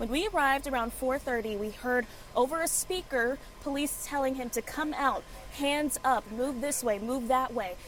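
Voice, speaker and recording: There is music in the background. Over it, a woman speaks in a high pitch. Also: ordinary pitch variation, moderate pace. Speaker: television news anchor and reporter. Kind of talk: television news reporting. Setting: on location outdoors.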